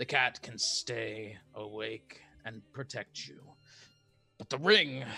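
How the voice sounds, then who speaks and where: A man puts on a raspy character voice at a medium pitch, leaving long, frequent pauses. Faint music plays in the background. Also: fairly slow pace. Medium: actual play. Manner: firm, clipped, commanding.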